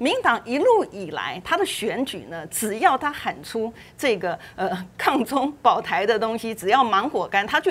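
A woman speaks at a fairly slow pace in a fairly high voice that swings very widely in pitch. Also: big swings in loudness. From Taiwan. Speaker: legislator; TV panel commentator. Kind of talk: political talk show panel. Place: studio. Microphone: lapel.

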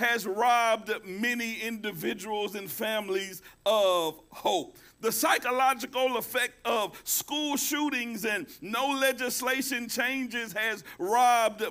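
A man's raised, projected voice at a very slow pace with ordinary pitch variation, music in the background. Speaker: pastor. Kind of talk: sermon. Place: church.

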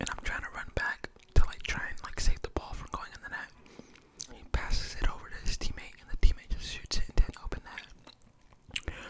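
The speaker is a man in a whisper. His pace is moderate. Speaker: ASMR YouTuber. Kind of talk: casual talk to camera. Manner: casual, rambling, chatty. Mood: amused, slightly frustrated story. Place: home room. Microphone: studio mic.

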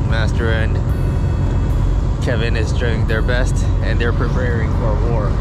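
Recorded dry with no echo, a man speaks with music in the background. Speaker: vlogger on fishing trip. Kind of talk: casual vlog chat. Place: boat. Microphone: phone near.

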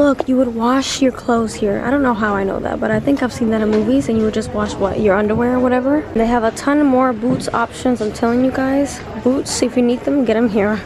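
A high-pitched woman's voice at a fairly quick pace, with very even loudness, fairly even intonation and hardly any pauses, amid noticeable background noise. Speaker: vlogger. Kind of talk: casual vlog chat. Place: shop. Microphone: phone near.

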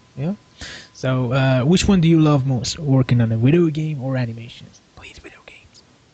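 A man's voice with ordinary pitch movement and big jumps in loudness, against noticeable background noise. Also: medium pitch for a man, moderate pace. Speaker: podcast host. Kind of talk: interview. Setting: call.

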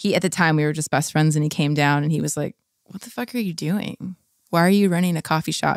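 Against a silent background, the very clean recording has a dry, close sound with no echo. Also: woman. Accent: West Coast American. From Southern California. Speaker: indie rock singer and guitarist. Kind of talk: interview.

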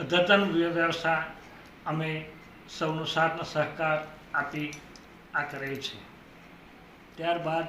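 Flat, monotone speech comes through with audible room echo and noticeable background noise. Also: man, fairly high pitch for a man. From Gujarat, Kheda district. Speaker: local politician. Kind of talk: self-introduction statement. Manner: halting.

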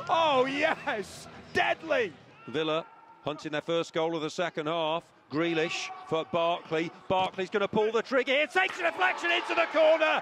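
Very wide pitch swings and an animated tone at a moderate pace, over noticeable background noise. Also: man, high pitch for a man. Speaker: football commentator. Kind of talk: live sports commentary. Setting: stadium match commentary over highlights. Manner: animated, excitable, rising in pitch at goals.

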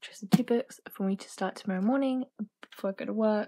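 A woman talks at a fairly quick pace in a somewhat breathy voice with a dark, mellow tone. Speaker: book vlogger. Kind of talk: casual vlog chat. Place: home room. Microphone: phone near.

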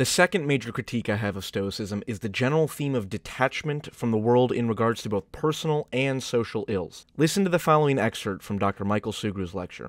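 With hardly any pauses and lively intonation, a man uses a normal speaking voice at medium pitch and a fairly quick pace, recorded dry and close with no echo over a very clean, silent background. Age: 20s. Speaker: video essayist. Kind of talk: scripted narration.

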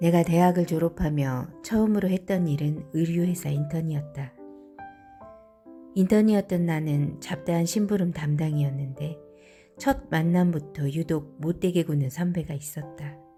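Against music in the background, a woman with a fairly low pitch speaks at a fairly slow pace in a calm, soothing tone with ordinary pitch variation. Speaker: voice acting trainee, beginner audiobook reader. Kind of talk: audiobook reading of a self-help essay.

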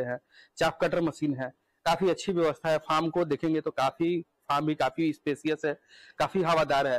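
The man's pitch is fairly high. His intonation stays fairly even.

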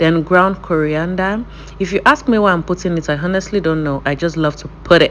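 Light background noise sits behind a woman who speaks at a moderate pace. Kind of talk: casual cooking tutorial chat. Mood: chatty, playful, laughing. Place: kitchen.

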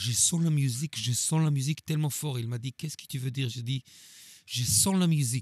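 A man with a Hebrew accent speaks at a medium pitch, somewhat breathy, with ordinary pitch variation. The sound is dry and close with no echo, and the recording is very clean over a silent background. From Israel. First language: Hebrew (speaking French). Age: 40s. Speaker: drummer. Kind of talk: interview. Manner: halting.

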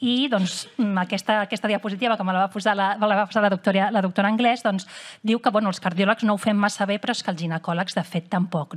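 Speaking at a very fast pace, a woman with a medium, somewhat breathy voice uses ordinary pitch variation. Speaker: cardiologist. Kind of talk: lecture. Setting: stage with audience. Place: hall.

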